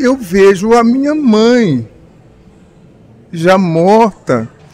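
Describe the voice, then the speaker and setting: The man talks very slowly, his pitch swinging very widely, while noticeable background noise carries on. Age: 70s. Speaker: spiritist speaker and medium. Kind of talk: interview. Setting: radio studio.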